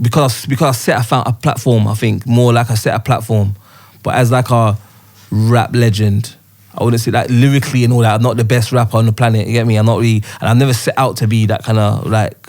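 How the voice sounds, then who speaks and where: Speaking very fast, a man keeps a flat, monotone intonation and very even loudness. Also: medium pitch for a man. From Birmingham, England, then South London from about age ten. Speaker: rapper. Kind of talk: casual chat. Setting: studio.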